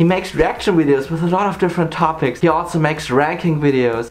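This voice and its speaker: Upbeat in tone, a man with a German accent speaks at a fairly high pitch with ordinary pitch variation. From Germany, Saarland. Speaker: YouTuber. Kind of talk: scripted countdown narration. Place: home room.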